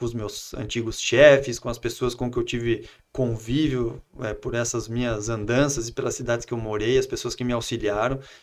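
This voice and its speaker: A man's medium-pitched voice stays monotone and flat, moving at a moderate pace. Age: 30s. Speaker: entrepreneur and politician. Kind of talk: casual interview.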